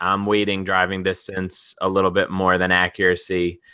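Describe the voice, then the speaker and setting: Fairly quick speech with a Long Island accent. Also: man. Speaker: sports betting podcast co-host. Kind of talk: casual podcast discussion.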